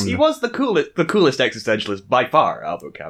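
With an American accent, a man talks at a fairly quick pace over noticeable background noise. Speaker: podcast co-host.

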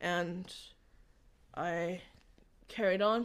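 With an American accent, a woman talks at a medium pitch and fairly even intonation, the recording very clean and the background silent. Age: 30s. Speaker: church community member sharing testimony. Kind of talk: testimony.

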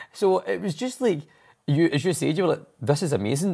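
A man with a Glasgow accent speaks at a fairly high pitch with vocal fry and very wide pitch swings. The recording is very clean, with a silent background. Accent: Scottish (Glasgow area). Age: 40s. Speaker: podcast host. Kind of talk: casual chat. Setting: studio.

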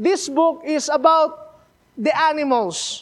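A man talks with a Filipino accent. His intonation stays fairly even. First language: Filipino language (Tagalog or regional). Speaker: missionary preacher. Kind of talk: sermon. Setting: church. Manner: halting, repeats words.

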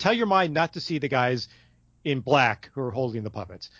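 A man speaks at a medium pitch with very wide pitch swings. His voice is somewhat breathy. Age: middle-aged. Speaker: podcast co-host, movie reviewer. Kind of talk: casual chat.

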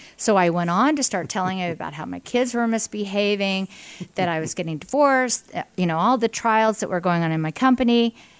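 A woman speaks with an American accent in an unremarkable speaking voice. Her pitch is medium, her pace fairly quick and her intonation lively. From western Pennsylvania (Indiana, PA). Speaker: business executive and party official. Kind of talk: casual interview. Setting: coffee shop.

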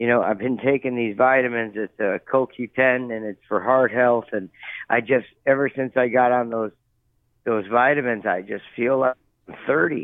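A man's normal speaking voice with an American accent, medium in pitch, moderate in pace and fairly even in intonation. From US Midwest, Cleveland. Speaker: jockey. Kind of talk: interview.

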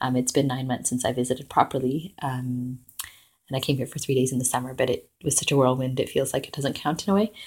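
At a very fast pace, the speaker talks with a Canadian accent, sounding somewhat breathy with fairly even intonation. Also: woman, very deep, low pitch for a woman. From Canada, British Columbia. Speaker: podcast host. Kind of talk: personal audio reflection. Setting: family home in Vancouver.

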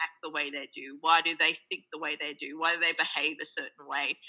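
A woman's fairly low, bright and sharp voice at a moderate pace. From Sri Lanka and Australia. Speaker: podcast producer and journalist. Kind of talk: casual interview chat. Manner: animated, humorous.

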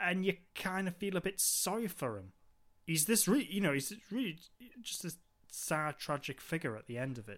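In a Geordie accent, a man talks at a moderate pace in a high pitch, with very wide pitch swings and big swings in loudness. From Newcastle, northeast England. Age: 30s. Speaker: podcast co-host. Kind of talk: casual chat.

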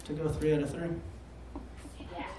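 A man speaks with an American accent. Noticeable background noise and audible room echo surround his voice. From Michigan. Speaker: game host. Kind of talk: comedy quiz game. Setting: stage with audience. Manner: hesitant.

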